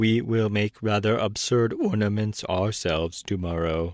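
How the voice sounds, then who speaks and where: A man puts on a character voice at a fairly low pitch. His pace is moderate. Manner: flat, mechanical.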